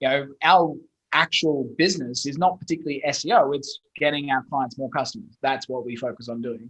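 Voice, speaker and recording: Talking at a fairly quick pace, a man with an Australian accent has a fairly high voice. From Australia, Brisbane. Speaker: SEO agency owner. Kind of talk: podcast interview.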